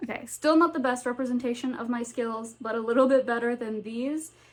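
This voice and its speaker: A woman with a slight Southern US accent uses a high pitch and fairly even intonation. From US South, North Carolina. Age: 20s. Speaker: booktuber. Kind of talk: casual vlog chat. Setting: home with cats.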